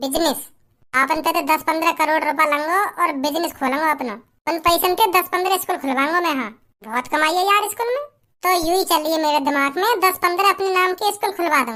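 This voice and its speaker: A woman uses a squeaky, put-on character voice at an extremely high pitch. She talks at a fairly quick pace with ordinary pitch variation. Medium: comedy sketch. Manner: blunt, coarse, rustic dialect.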